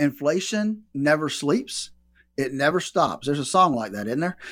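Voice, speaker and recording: A man with a fairly high pitch and a plain, everyday voice, at a fairly quick pace on a very clean recording with a silent background. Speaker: financial advisor. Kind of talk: casual radio chat about retirement and inflation. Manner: conversational, relaxed.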